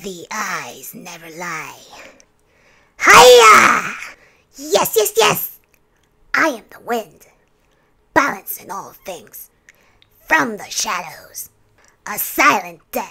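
A woman's put-on character voice at a medium pitch, very slow, with very wide pitch swings, big swings in loudness and long, frequent pauses

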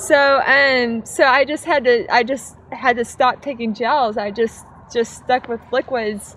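At a fairly slow pace, a woman with an American accent speaks at a high pitch in a dry sound with no echo over light background noise. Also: ordinary pitch variation. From United States. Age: 30s. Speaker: ultramarathon runner; interviewee. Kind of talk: post-race interview. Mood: relaxed, happy, laughing. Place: open country.

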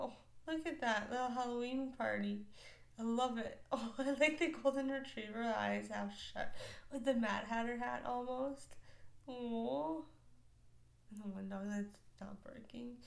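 Fairly slow speech broken by long, frequent pauses, with ordinary pitch variation. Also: woman, high pitch for a woman. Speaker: reaction video creator. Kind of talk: casual vlog chat. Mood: warm, amused. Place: home room.

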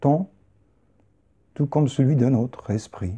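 A man speaks in a calm, soothing tone that is dark, mellow and somewhat breathy, his pitch fairly high. The background is quiet. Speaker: poet or performer. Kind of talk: guided meditation. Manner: slow, calm, soothing; hushed, meditative, with long pauses. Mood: calm, meditative. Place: home room.

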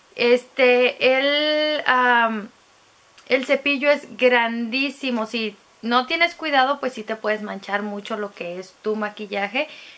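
A woman's high, bright, sharp voice moves at a very slow pace with ordinary pitch variation. Her loudness swings widely. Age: 30s. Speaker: beauty vlogger. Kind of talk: product review monologue. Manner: casual, filler-heavy. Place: home room. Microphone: phone near.

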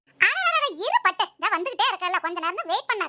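A cartoonish character voice from a woman, extremely high in pitch, with faint music in the background. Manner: sly, wheedling.

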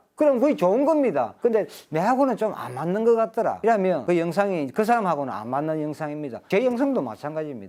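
A man with a high, dark, mellow voice talks at a very fast pace. He barely pauses and his pitch swings very widely. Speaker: fishing tackle shop owner and instructor. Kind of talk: tutorial monologue. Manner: rising, emphatic voice.

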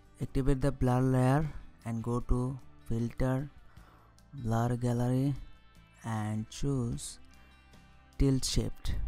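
With music in the background, the speaker talks at a very slow pace with a non-native accent, leaving long, frequent pauses. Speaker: software tutorial narrator. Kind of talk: screen-recording tutorial narration.

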